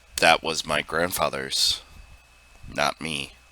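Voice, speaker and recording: Using a put-on character voice, a man speaks raspy and monotone at a very deep, low pitch and fairly slow pace, in a dry, close sound with no echo. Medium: read story. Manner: bitter, proud.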